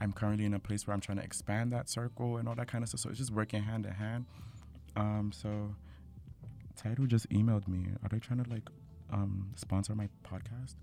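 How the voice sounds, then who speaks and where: A man's fairly quick, fairly even-toned speech in an American accent, with music in the background. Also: fairly low pitch for a man. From New York City, Nigerian family. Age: 20s. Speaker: podcast host. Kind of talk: casual chat.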